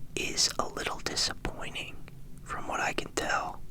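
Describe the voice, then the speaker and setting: Someone whispers over noticeable background noise. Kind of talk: ASMR whispered unboxing. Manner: whispered.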